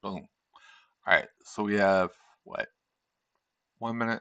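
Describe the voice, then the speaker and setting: A man talks at a fairly slow pace in a fairly low pitch, his tone bright and sharp. His intonation is flat and monotone, and the sound is dry and close with no echo. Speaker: day trader streamer. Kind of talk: live trading stream commentary. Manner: casual, thinking aloud.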